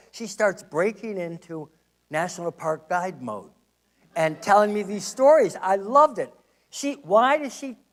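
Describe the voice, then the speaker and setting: With lively intonation and big swings in loudness, a man speaks high for a man at a fairly slow pace. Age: 60s. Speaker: historian and public lecturer. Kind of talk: lecture.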